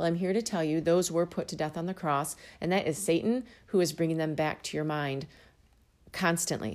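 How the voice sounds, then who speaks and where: On a very clean recording with a silent background, a woman with a fairly low pitch talks at a fairly quick pace in an ordinary speaking voice. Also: ordinary pitch variation. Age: 50s. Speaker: podcast host. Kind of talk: bible teaching monologue.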